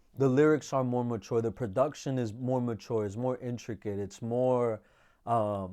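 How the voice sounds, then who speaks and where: In a very clean recording with a silent background, a man with a dark, mellow tone and medium pitch speaks at a moderate pace with fairly even intonation. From New York City (Washington Heights), Dominican community. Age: 20s. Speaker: bachata singer and songwriter. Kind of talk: casual interview. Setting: studio.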